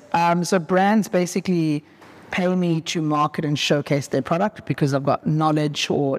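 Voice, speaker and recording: A man with an unremarkable speaking voice, fairly high in pitch, at a moderate pace, with very even loudness and ordinary pitch variation. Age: young. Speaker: motoring journalist and content creator. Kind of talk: casual interview. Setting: car dealership garage.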